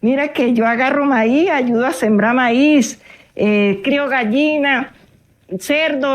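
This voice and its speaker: A woman talks at a very slow pace with a high pitch. Her intonation is lively. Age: 70s. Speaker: farmer. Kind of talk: testimony.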